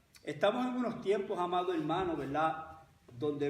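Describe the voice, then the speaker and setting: There is clear background noise as a man talks, his pitch rising and falling in an ordinary way. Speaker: pastor. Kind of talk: sermon.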